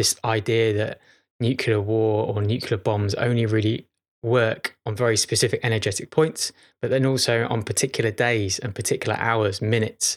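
A man with a northwest English accent, medium pitch and monotone, flat intonation at a moderate pace, in a very clean recording with a silent background. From northern England, Chester. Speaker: podcast host. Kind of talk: casual monologue. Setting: at home, childhood home.

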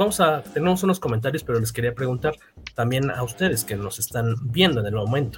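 Over background music, a man talks at a very fast pace in a fairly high voice with lively intonation. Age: 40s. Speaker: podcast host. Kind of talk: casual chat.

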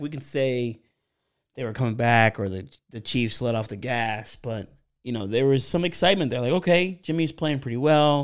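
A man with an American accent and an unremarkable speaking voice talks at a fairly quick pace, at a medium pitch with ordinary pitch variation, on a very clean recording with a silent background. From Pennsylvania. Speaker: podcast host, football fan analyst. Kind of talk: casual interview chat.

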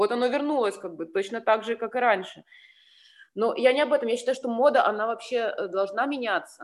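A woman talks at a fairly quick pace in an unremarkable speaking voice. Her pitch is fairly high, with ordinary pitch variation. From Ukraine (Sevastopol, Crimea). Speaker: fashion designer. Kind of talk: casual interview.

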